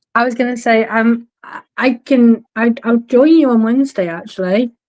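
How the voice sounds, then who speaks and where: Speaking in a British accent, a woman keeps a moderate pace and fairly even intonation. Her pitch is fairly high. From United Kingdom. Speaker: co-host. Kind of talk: casual chat.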